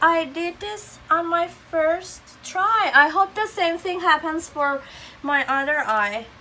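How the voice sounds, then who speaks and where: A woman with an extremely high pitch uses a raised, projected voice at a very slow pace. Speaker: beauty vlogger. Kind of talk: tutorial.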